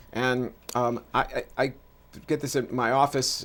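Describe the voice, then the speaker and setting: With an American accent, a man talks at a moderate pace in a monotone, flat intonation. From New York City, Washington Heights. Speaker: pediatrician and author. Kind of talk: interview conversation. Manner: halting, many fillers and restarts.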